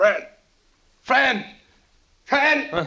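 A man's put-on character voice, extremely high in pitch, raised and projected. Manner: panicked, calling out.

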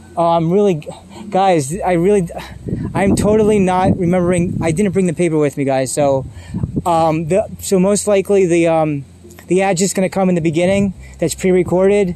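Noticeable background noise sits behind a man speaking at a moderate pace in a high pitch. His intonation is fairly even and his loudness very even. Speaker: podcast host. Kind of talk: casual interview chat. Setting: outdoors at a park.

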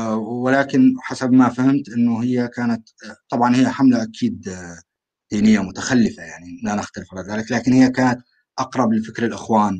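In a plain, everyday voice, a man of medium pitch speaks at a moderate pace with fairly even intonation. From Syria, rural Aleppo. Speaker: call-in participant. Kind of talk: online panel discussion.

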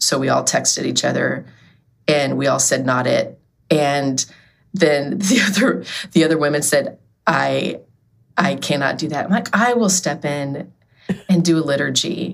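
A woman's very deep, low voice with vocal fry, ordinary pitch variation, a fairly slow pace and long, frequent pauses. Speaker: book contributor and nonprofit marketing director. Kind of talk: podcast interview. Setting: remote call.

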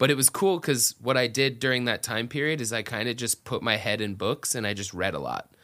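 With an American accent and hardly any pauses, a man speaks in a bright, sharp tone and ordinary pitch variation on a very clean recording with a silent background. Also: medium pitch for a man, fairly quick pace. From US South, Atlanta area. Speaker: metal band singer. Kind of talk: casual chat. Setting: studio, in person.

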